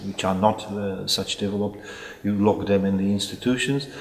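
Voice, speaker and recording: Delivered in a monotone, flat intonation with a Czech accent, the voice sits over noticeable background noise. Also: man. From Czech Republic, Prague. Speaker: psychiatrist. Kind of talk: interview. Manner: halting.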